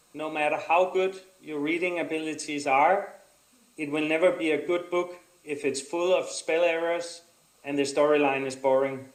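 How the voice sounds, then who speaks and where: A man talks at a moderate pace and fairly high pitch. His intonation stays fairly even, and the room echo is audible. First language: not English. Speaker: adventure racer and course designer. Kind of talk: conference presentation. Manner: halting.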